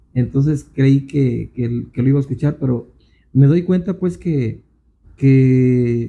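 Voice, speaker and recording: A somewhat breathy man at a fairly slow pace, with ordinary pitch variation. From Jalisco, Mexico (Cihuatlán). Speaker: songwriter. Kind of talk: casual interview chat. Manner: halting, many repetitions. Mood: reflective, slightly rueful. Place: studio. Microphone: handheld.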